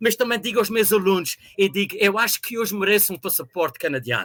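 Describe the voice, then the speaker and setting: A man talks at a very fast pace in a raised, projected voice that is high-pitched for a man, with a bright, sharp tone. The sound is dry and close, with no echo. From Azores, São Miguel (Ribeira Grande). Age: 60s. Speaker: university professor. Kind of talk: interview.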